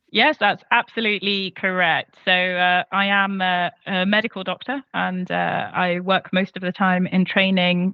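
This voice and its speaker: A woman with a medium-pitched voice speaks with a strong English accent. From London, England. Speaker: medical doctor and researcher. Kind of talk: interview. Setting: video call. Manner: halting, many fillers.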